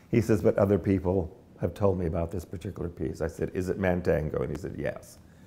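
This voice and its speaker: A man speaks very fast in a very deep, low voice, his tone dark and mellow and somewhat breathy, with ordinary pitch variation. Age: 70s. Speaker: dance choreographer. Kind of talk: interview. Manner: halting, repeats words.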